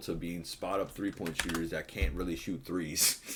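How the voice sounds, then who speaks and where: Noticeable background noise runs under the clip. A man speaks at a fairly quick pace. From Puerto Rican heritage, US. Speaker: sports betting YouTuber. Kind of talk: casual rant to camera. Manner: animated.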